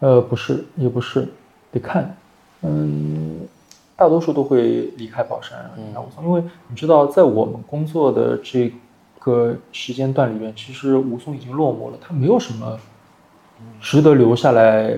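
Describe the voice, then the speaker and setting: At a moderate pace, a man with a dark, mellow tone and medium pitch uses lively intonation, big swings in loudness, and long, frequent pauses. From Shanghai, Wusong (Baoshan). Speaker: fashion industry worker and food enthusiast. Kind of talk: reminiscing conversation.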